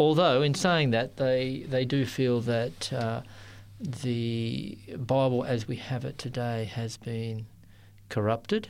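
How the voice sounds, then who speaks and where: A man with an Australian accent at a very slow pace, with ordinary pitch variation. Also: medium pitch for a man. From Sydney, Australia. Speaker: interfaith ministry worker. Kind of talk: interview. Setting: studio.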